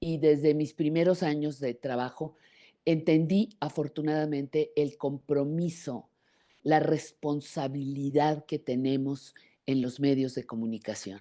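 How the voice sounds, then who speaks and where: A woman speaks at a fairly slow pace with a Mexican accent and a very deep, low pitch. Her tone is dark and mellow, her intonation fairly even. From Mexico. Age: 70s. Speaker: journalist. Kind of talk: interview.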